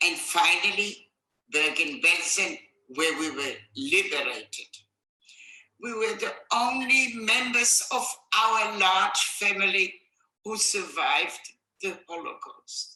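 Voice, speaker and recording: In a room with audible echo, a woman at medium pitch speaks very slowly, her pitch swinging very widely. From Poland, Warsaw. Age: 80s+. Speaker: Holocaust survivor. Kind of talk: testimony.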